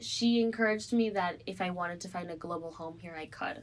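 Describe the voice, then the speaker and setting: In an American accent, a woman with an unremarkable speaking voice talks at a fairly quick pace and medium pitch. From Evanston, Illinois, US Midwest. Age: young. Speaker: college student. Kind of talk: interview.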